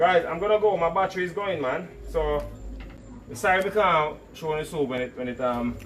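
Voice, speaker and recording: Loud, high-pitched man with a Jamaican accent, moderate pace, ordinary pitch variation, noticeable background noise. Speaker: cooking channel host. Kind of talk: casual live stream chat. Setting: outdoors in a storm.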